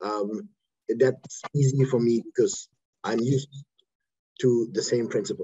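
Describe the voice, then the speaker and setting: This man's voice is somewhat breathy. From Germany. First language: German. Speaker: lawyer. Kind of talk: lecture. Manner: fast. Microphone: too quiet, moved closer to computer.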